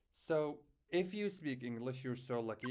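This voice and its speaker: Speaking at a moderate pace, a man with a non-native accent uses a medium pitch. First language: not English. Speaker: beginner programming vlogger. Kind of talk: personal vlog. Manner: halting, many fillers.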